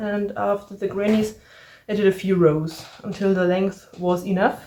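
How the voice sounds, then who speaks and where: In a German accent, a woman talks at a medium pitch with monotone, flat intonation. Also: fairly slow pace. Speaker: crafting podcaster. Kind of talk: casual crafting vlog.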